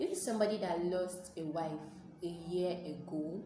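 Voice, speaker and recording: A woman talks at a moderate pace in a medium pitch with ordinary pitch variation and a Nigerian accent. Noticeable background noise and audible room echo sit behind her voice. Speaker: YouTuber, commentary vlogger. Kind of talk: casual vlog commentary.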